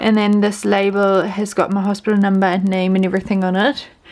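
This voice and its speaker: Someone with a New Zealand accent talks at a fairly quick pace against noticeable background noise. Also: woman. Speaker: vlogger, new mother. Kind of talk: casual vlog.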